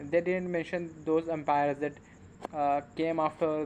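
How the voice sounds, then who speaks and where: At a moderate pace, a man with a non-native accent talks in a fairly high pitch with monotone, flat intonation. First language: not English. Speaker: English learner vlogger. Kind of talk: casual monologue to camera. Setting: at home at night, on camera. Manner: halting, many fillers.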